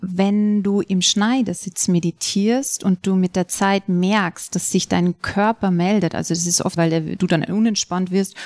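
At a fairly slow pace, a woman with a normal speaking voice and medium pitch is heard in a dry, close sound with no echo. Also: very clean recording, silent background. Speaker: yoga and meditation teacher. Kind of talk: guided meditation. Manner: slow, calm, soothing, with long pauses; soft-spoken, measured counting.

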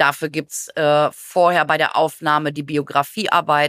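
A woman with a very deep, low pitch and monotone, flat intonation at a moderate pace, in a dry, close sound with no echo on a very clean recording with a silent background. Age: 50s. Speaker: geriatric nurse. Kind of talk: interview.

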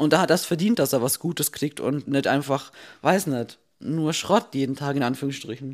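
Very deep, low-pitched speech from a woman, moderate pace, ordinary pitch variation. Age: 20s. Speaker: fitness podcast host. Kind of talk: casual chat. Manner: hectic.

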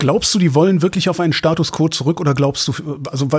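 A man's fairly high, somewhat breathy voice with ordinary pitch variation. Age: 50s. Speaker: radio host. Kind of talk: casual chat.

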